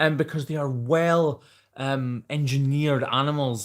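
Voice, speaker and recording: A man speaks at a medium pitch with a slight Scottish accent. The recording is very clean, with a silent background. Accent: mild Scottish. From Scotland. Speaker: hoof trimmer and YouTuber. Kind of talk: live stream Q&A, reading viewer comments. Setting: live stream. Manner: casual, chatty.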